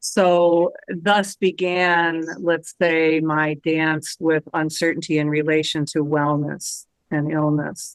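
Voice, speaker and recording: This woman has a very deep, low pitch. Her intonation stays monotone and flat. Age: 60s. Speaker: retired professor and uncertainty coach. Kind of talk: interview conversation.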